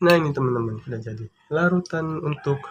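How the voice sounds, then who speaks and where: A soft-spoken man is talking. His pitch varies in an ordinary way. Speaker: YouTuber. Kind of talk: tutorial. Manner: speaking softly; casual, chatty.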